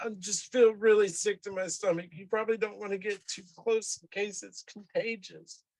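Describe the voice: Putting on a character voice, a man speaks at a moderate pace in a whiny, high-pitched tone.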